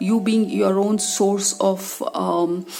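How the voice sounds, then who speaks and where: Noticeable background noise is audible throughout. The woman's voice is at a medium pitch. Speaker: tarot reader. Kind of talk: tarot reading talk to camera.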